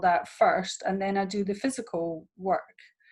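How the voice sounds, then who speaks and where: In a Scottish accent, a woman speaks at medium pitch with fairly even intonation. Her pace is fairly slow, and the background is quiet. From Scotland. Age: 50s. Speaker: therapist and women's empowerment coach. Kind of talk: interview. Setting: video call.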